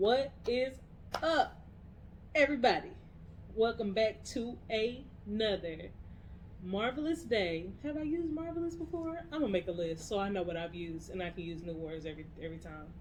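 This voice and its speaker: Somewhat breathy and fairly high-pitched, a woman's voice moves at a moderate pace with very wide pitch swings and big swings in loudness. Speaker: podcast co-host. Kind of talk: casual chat.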